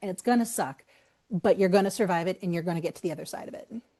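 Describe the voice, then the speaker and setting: A woman speaks at a very fast pace with an American accent. Her tone is animated. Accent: Boston accent, slips out on some words. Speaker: author. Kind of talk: podcast interview.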